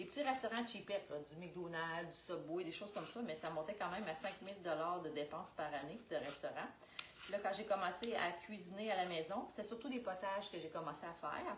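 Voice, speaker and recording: A woman with a Quebec accent and a fairly low pitch talks at a fairly quick pace with ordinary pitch variation, amid audible room echo and noticeable background noise. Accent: Québécois French. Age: 40s. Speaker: Tupperware sales consultant. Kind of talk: live cooking demonstration. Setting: livestream.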